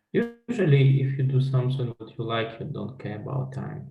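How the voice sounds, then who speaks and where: Speaking at a moderate pace, a man's voice carries audible echo from the room. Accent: Russian. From Belarus. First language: Russian. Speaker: life coach and trainer. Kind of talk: interview.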